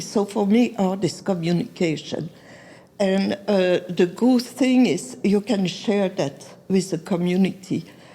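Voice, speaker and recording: Her voice sits at a medium pitch and is somewhat breathy. The woman speaks at a fairly slow pace with ordinary pitch variation. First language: not English. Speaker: artist. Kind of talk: interview. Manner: halting.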